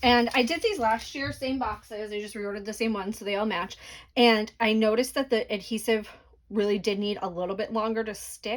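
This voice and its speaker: Speaking at a fairly quick pace, a woman with a fairly high pitch and fairly even intonation has a plain, everyday voice on a very clean recording with a silent background. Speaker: crafting tutorial creator. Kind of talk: tutorial. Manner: casual, filler words.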